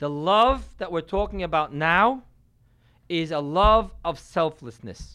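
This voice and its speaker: A man with a high pitch speaks at a very slow pace with lively intonation. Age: 40s. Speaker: rabbi teaching a class. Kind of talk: lecture.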